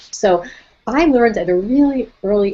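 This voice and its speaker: Ordinary pitch variation marks a woman's speech in an American accent. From Brooklyn, New York. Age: 60s. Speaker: nutrition and wellness speaker. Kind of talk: webinar presentation. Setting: online webinar.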